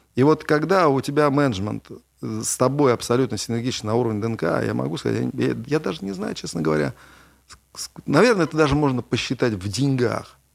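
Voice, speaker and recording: A man with a medium pitch and lively intonation talks at a fairly quick pace, broken by long, frequent pauses. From Russia, Kovrov. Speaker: entrepreneur. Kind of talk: interview.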